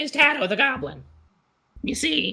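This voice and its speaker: Extremely high-pitched put-on character voice from a man, moderate in pace. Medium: actual play. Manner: condescending, mocking.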